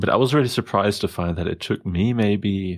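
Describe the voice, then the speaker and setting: A man speaks with a slight German accent at a fairly low pitch. The recording is very clean, with a silent background. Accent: slight German, taken for South African. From Germany. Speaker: podcast host. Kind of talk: casual interview conversation. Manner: hesitant, many fillers.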